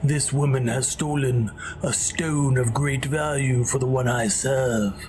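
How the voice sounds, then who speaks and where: Over loud background noise, a man uses a put-on character voice at a medium pitch and a fairly slow pace. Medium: video game. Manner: dramatic.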